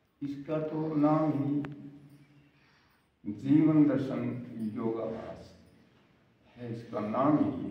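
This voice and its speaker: Audible room echo surrounds a man with a fairly high pitch. He uses ordinary pitch variation and leaves long, frequent pauses. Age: 70s. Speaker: yoga ashram participant. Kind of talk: testimony.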